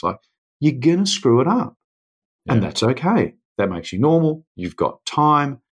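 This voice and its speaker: An ordinary speaking voice at a fairly quick pace. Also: man. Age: 40s. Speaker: adventurer and speaker. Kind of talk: casual chat. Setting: remote call across time zones.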